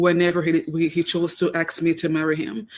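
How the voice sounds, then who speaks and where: A woman speaks with a Cameroonian accent. Her pitch sits fairly low. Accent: noticeable Cameroonian. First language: Cameroonian native tongue, also French. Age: 30s. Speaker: guest, wife. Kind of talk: radio interview.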